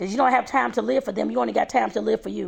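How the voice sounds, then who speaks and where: A woman with a St. Louis accent speaks in an animated tone. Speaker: home baker and vlogger. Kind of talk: motivational vlog talk.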